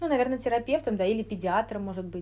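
The voice has a dark, mellow tone and ordinary pitch variation. Delivery is at a very fast pace. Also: woman. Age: 20s. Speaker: clinical neuropsychologist. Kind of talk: casual interview.

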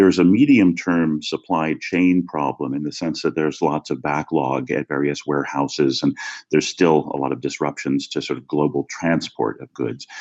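This man has a very deep, low pitch with ordinary pitch variation. He speaks with hardly any pauses. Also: moderate pace. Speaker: law professor. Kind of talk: interview discussion.

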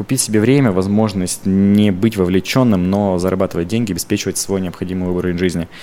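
A man's very deep, low pitch and dark, mellow tone at a very fast pace with hardly any pauses. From Russia, Krasnoyarsk Krai (Zheleznogorsk). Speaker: entrepreneur. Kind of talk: podcast interview.

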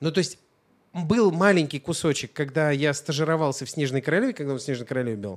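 In an ordinary speaking voice, a man talks at a fairly quick pace with lively intonation. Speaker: podcast co-host. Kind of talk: casual chat.

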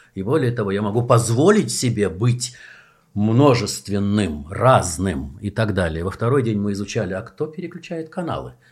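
This man's fairly low, somewhat breathy voice moves through very wide pitch swings. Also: moderate pace. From Soviet Union. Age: 60s. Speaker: actor and theatre director. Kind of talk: casual chat. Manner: animated.

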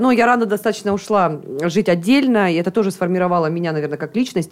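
At a very fast pace, a woman of medium pitch talks with lively intonation. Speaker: foreign trade expert and entrepreneur. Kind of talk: radio interview. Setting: studio. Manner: energetic.

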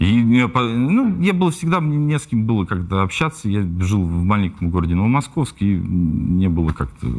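With noticeable background noise behind him, a man with a fairly low voice speaks at a moderate pace, his pitch swinging very widely. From Russia, Tula region (Novomoskovsk). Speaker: rapper. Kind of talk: interview.

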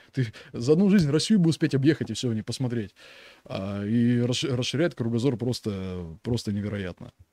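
A man speaks at a fairly quick pace with lively intonation and a dark, mellow tone. The sound is dry and close with no echo, and the recording is very clean with a silent background. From Russia. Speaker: soldier. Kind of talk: casual chat.

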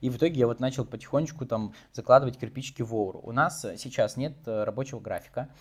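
A man's somewhat breathy, medium-pitched voice at a very fast pace, with fairly even intonation. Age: 20s. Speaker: marketing agency founder. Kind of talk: interview. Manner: casual, filler-heavy.

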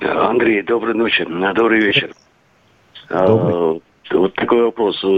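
The speech has fairly even intonation and long, frequent pauses. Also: man, fairly low pitch for a man, fairly slow pace, very even loudness. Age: 60s. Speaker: caller. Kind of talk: phone-in call. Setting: phone call.

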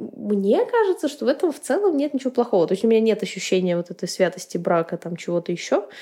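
Talking at a fairly quick pace, a woman uses very wide pitch swings in a dark, mellow tone. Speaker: podcast host. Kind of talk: casual chat.

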